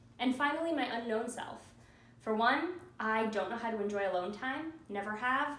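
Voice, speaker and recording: A fairly high female voice with audible room echo and noticeable background noise. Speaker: journalism student. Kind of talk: class presentation video. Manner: loud.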